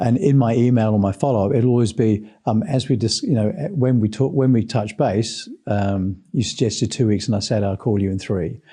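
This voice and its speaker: A man with a New Zealand accent speaks at a moderate pace in a medium pitch with ordinary variation and a dark, mellow tone. The background is quiet. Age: 60s. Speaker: sales trainer. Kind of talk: podcast interview.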